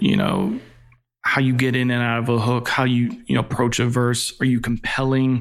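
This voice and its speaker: A man with an American accent has an unremarkable speaking voice. He talks at a moderate pace and a medium pitch. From Virginia, Newport News. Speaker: record label A&R executive. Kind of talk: casual interview.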